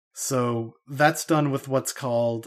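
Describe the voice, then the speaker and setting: A man with an Idaho accent speaks in a medium pitch with fairly even intonation. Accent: American (Idaho). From US, Idaho. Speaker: computer science researcher. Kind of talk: casual interview chat.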